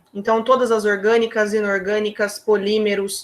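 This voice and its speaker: A woman with a plain, everyday voice speaks at a fairly slow pace and a fairly high pitch. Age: 20s. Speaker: chemical engineer. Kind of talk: career talk to students on video call.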